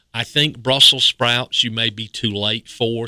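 The sound is dry and close, with no echo, and the tone is bright and sharp. An eastern North Carolina accent comes through at a moderate pace. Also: man. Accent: Southern, eastern North Carolina. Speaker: horticultural specialist. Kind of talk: radio call-in advice.

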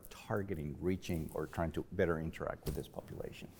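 Delivered at a moderate pace, the voice has a dark, mellow tone and a Spanish accent. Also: man. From Mexico. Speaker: professor. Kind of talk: panel discussion. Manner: halting, with frequent repetitions.

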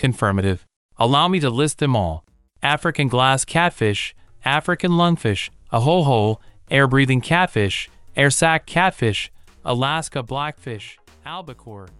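A man in a put-on character voice at medium pitch, moderate pace, quiet background. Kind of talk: robotic comedy. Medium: audio drama.

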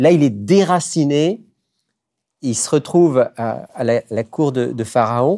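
A man's fairly high pitch and dark, mellow tone with lively intonation, at a very slow pace with long, frequent pauses, in a dry, close sound with no echo and a very clean recording with a silent background. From France. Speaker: radio host. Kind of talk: religious talk show.

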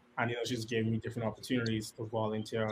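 A somewhat breathy man at a medium pitch. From Bahamas, Nassau. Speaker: conservation communications officer. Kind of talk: casual chat.

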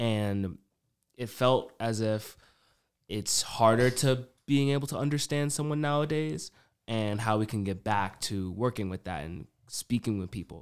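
At a fairly slow pace, a man talks in a normal speaking voice of medium pitch. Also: lively intonation. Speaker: podcast co-host. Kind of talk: casual interview chat.

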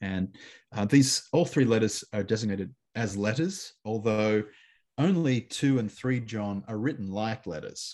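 Speaking at a fairly slow pace with lively intonation, a man with an Australian accent uses a medium pitch. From Australia (Canberra). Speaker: New Testament scholar. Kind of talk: interview on biblical studies. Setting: remote call.

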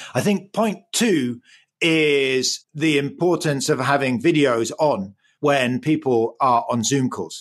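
With a quiet background, a man talks at a very slow pace. His fairly high voice carries lively intonation. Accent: English. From England. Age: 50s. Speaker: economics professor. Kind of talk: interview.

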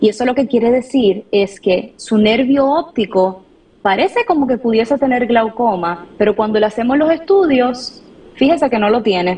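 Against noticeable background noise, a woman with a Puerto Rican accent speaks at a moderate pace in a fairly high pitch, her intonation lively and her loudness very even. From Puerto Rico. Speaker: ophthalmologist. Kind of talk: expert interview on radio.

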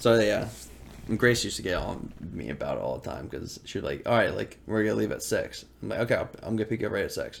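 Music plays behind the speaker. He is a man talking at a very fast pace. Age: 20s. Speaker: podcast co-host. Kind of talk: casual chat.

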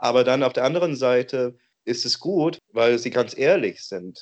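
At a moderate pace, a man with an English accent talks at a medium pitch with ordinary pitch variation. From Oregon, US. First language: English (speaking German). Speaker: interviewee. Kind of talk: interview. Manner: halting.

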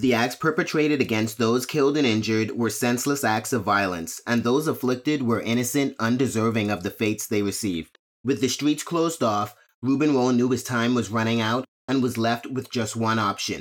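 On a very clean recording with a silent background, a man with an ordinary speaking voice talks at a medium pitch and fairly quick pace, with ordinary pitch variation and very even loudness. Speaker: podcast host, true crime narrator. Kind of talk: true-crime narration, scripted and read aloud. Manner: grave, measured, somber storytelling; formal, steady.

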